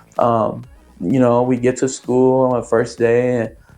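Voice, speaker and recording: With music in the background, a man's voice comes through at a medium pitch. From San Francisco Bay Area, California (Oakland, Antioch). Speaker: community member sharing life story. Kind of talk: interview testimony. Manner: halting, many fillers.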